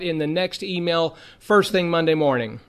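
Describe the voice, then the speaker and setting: This is a man speaking. His pitch is fairly high. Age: 50s. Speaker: bible teacher. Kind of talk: lecture. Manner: hesitant fillers.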